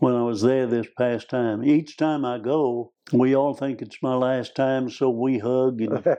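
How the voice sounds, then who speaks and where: A man with an Arkansas accent speaks at a fairly slow pace in a medium-pitched, dark, mellow voice with fairly even intonation. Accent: Southern US (Arkansas). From US South, northeast Arkansas. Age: 80s+. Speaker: preacher and missionary. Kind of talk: interview conversation.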